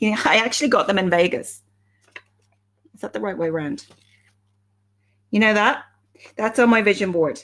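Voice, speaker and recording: Lively intonation and an Irish accent mark this voice, which has long, frequent pauses and big swings in loudness. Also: woman, medium pitch for a woman. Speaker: life coach. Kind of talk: live stream talk. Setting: live video stream. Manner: fast.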